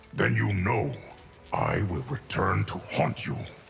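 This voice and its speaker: Growling in a put-on character voice, a man with a very deep, low pitch swings very widely in pitch at a fairly slow pace over clear background noise. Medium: short film. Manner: grave, measured.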